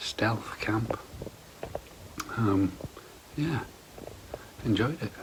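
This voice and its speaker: Whispering with an English accent, a man speaks very slowly. Noticeable background noise can be heard. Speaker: camping vlogger. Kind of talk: casual vlog. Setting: at home; outdoors.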